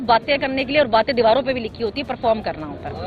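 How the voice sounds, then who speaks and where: A woman's voice rises and falls in an ordinary way while noticeable noise sits in the background. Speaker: politician. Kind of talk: press talk. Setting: outdoors.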